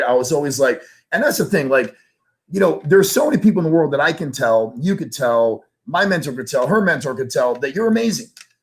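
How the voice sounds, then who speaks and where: Somewhat breathy and fairly quick, the speech moves with lively intonation. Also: man. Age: 40s. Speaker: entrepreneur guest. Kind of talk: interview chat. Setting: live stream. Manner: animated.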